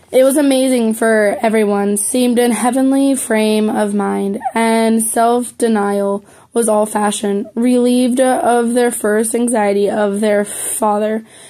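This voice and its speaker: A woman's fairly high voice at a fairly slow pace with hardly any pauses and fairly even intonation, amid noticeable background noise. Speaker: amateur reader. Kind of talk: reading aloud. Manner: halting.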